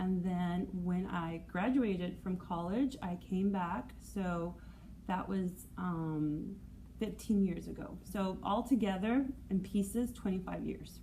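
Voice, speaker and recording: A woman at a medium pitch, somewhat breathy and dark, mellow in tone, very slow in pace with ordinary pitch variation, amid audible room echo. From Southern California and Cali, Colombia. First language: Spanish. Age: 40s. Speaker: schoolteacher. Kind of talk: interview.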